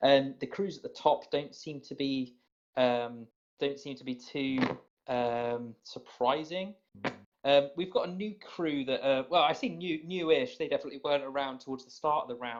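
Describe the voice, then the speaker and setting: Speaking in a British accent at a moderate pace, a man with a fairly high voice shows ordinary pitch variation and big swings in loudness. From Britain. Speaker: podcast host for a gaming community. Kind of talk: casual group chat on a call. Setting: group voice call.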